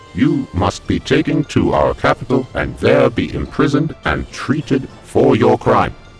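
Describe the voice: A man puts on a character voice at medium pitch, with vocal fry and very wide pitch swings. He goes at a fairly slow pace over faint background music.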